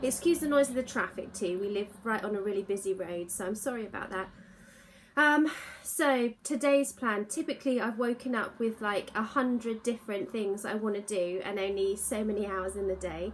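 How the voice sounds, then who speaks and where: The speaker is a woman talking at a moderate pace with ordinary pitch variation. Light background noise can be heard. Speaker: sewing vlogger. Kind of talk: casual vlog chat. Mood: cheerful, relaxed. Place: home room. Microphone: phone near.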